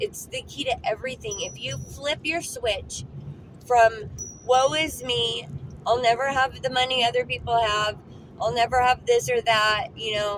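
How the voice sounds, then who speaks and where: A loud, high-pitched woman's voice at a fairly slow pace, with lively intonation. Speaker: lifestyle vlogger. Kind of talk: casual vlog talk. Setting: in a car. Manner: repetitive stammering.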